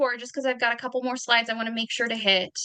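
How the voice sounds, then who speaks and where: A woman speaks with a bright, sharp tone. Her pitch is fairly high. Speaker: presenter on neurodiversity. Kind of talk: presentation with slides. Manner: fast.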